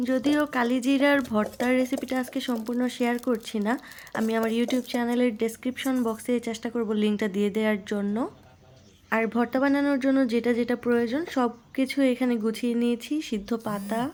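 A woman's high-pitched voice with very even loudness and monotone, flat intonation. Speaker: home cooking YouTuber. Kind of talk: cooking tutorial voiceover.

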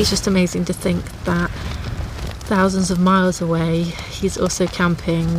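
A woman with a fairly low voice talks fairly quickly in a monotone, flat way, her sound dry with no echo but with noticeable background noise. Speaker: outdoor vlogger. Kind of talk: casual vlog chat. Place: tent. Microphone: phone near.

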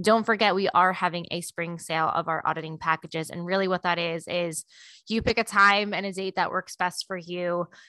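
The tone is bright and sharp. The sound is dry, with no echo. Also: woman, quiet background. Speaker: podcast host. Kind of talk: promotional podcast segment. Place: home room. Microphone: studio mic.

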